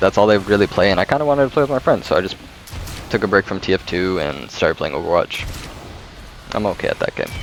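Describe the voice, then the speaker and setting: A man with lively intonation amid noticeable background noise. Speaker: gaming channel creator. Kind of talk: casual talk to camera. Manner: hesitant, stuttering.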